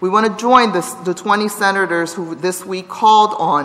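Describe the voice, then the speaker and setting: The speaker is a woman. She talks neither fast nor slow. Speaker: council member. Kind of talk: formal floor remarks. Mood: earnest, serious. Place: hall. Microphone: podium.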